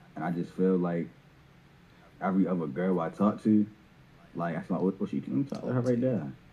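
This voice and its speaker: This man's voice is very deep and low, with a dark, mellow tone. He speaks at a fairly quick pace. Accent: Baltimore. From Baltimore, US. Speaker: caller. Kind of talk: casual chat. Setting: video call.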